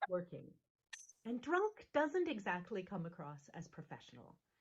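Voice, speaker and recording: Loud female speech at a moderate pace, with very wide pitch swings. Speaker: minister. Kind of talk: sermon. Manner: animated.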